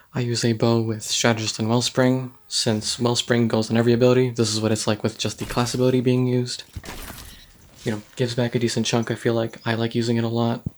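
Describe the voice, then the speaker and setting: Very fast speech from a man at medium pitch, with monotone, flat intonation. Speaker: gaming video creator. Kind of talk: gameplay tutorial. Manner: soft-spoken; hesitant, many ums. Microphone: poor recording quality.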